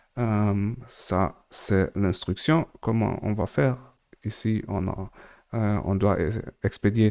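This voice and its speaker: A man speaks very slowly with a non-native accent. His pitch is fairly low, with ordinary variation. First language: not French, more at ease in English (speaking French). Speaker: crypto tutorial creator. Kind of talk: tutorial. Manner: halting, many hesitations.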